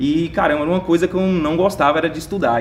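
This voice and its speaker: Noticeable background noise sits under this man's voice. His pitch is fairly high and his pace very fast. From Minas Gerais, Brazil (Montes Claros). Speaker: network marketing entrepreneur. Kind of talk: casual interview.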